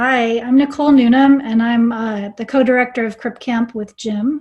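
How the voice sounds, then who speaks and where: A woman's somewhat breathy voice in a monotone, flat intonation. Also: quiet background. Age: 50s. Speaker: documentary film director. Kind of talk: panel discussion.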